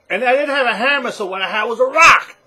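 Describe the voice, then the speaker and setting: A man with a New York accent talks at an extremely high pitch. His voice is raised and projected. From New York City, the Bronx. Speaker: online business vlogger. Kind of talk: personal story to camera. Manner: casual, halting with repetitions.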